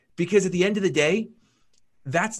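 A man is speaking. His tone is energetic and animated. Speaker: podcast host. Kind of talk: interview, sponsor reads and intro. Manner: energetic, animated.

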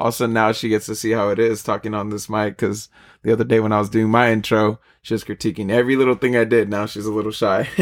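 On a very clean recording with a silent background, a man speaks very fast with an American accent. His pitch is fairly low and his intonation monotone and flat. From San Diego, California. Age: 20s. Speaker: podcast host. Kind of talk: casual chat.

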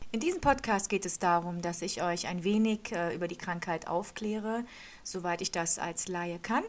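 A woman talks at a moderate pace and medium pitch. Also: ordinary pitch variation. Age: 40s. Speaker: podcast host living with lupus. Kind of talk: monologue podcast trailer. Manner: casual with frequent hesitations.

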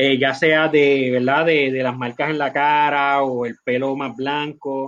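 This man has a fairly high pitch and speaks at a very slow pace in a monotone, flat intonation. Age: 40s. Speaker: company executive. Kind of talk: interview.

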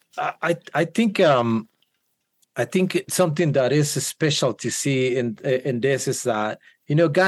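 With a Guatemalan accent, a man speaks at a fairly high pitch. His pace is moderate and his intonation lively. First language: Spanish. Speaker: worship leader. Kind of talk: casual chat. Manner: halting, hesitant.

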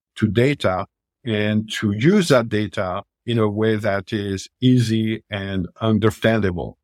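With a French accent, a man speaks at a fairly low pitch in a dry, close sound with no echo on a very clean recording with a silent background. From France, Paris. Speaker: telematics company executive. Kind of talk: podcast interview. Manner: halting.

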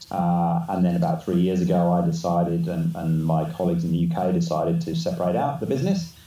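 With audible room echo, a man with an English accent speaks very fast in a very deep, low voice, his intonation monotone and flat and his loudness very even. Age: 50s. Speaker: business consultant. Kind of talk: casual interview. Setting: video call.

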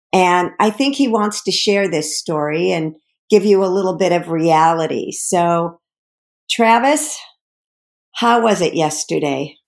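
A woman with an unremarkable speaking voice talks fairly slowly at a medium pitch, her intonation lively. The recording is very clean, with a silent background. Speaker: podcast co-host, former care partner. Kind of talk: scripted intro and casual chat. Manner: candid, conversational.

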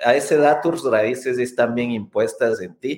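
A man's voice against a quiet background. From Ecuador. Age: 30s. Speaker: scientist and immigrant rights advocate. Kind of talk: interview.

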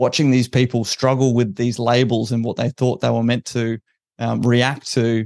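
In an Australian accent, a man talks at a moderate pace and medium pitch with monotone, flat intonation. The sound is dry and close with no echo, over a quiet background. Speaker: special forces veteran and political party founder. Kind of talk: interview.

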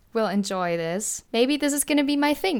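A woman speaks with a German accent and lively intonation. The recording is very clean and the background silent. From Germany. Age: 20s. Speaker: podcast host, college student. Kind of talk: casual monologue. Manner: casual, often says 'like'.

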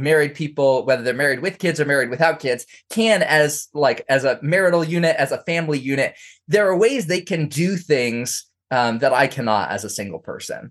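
With an unremarkable speaking voice, a man talks at a moderate pace and fairly high pitch, his intonation lively against a quiet background. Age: 30s. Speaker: author and scholar. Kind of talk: interview.

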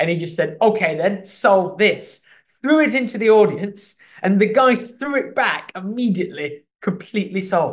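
In an English accent, a man speaks at a moderate pace with a high pitch. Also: ordinary pitch variation. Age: 30s. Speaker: comedic actor and playwright. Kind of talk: interview. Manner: halting.

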